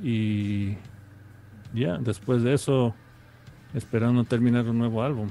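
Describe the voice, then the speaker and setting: Slow-paced with long, frequent pauses, a man at a medium pitch talks in a dark, mellow tone with fairly even intonation. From New York, Ecuadorian family. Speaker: musician. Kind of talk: interview. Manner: halting.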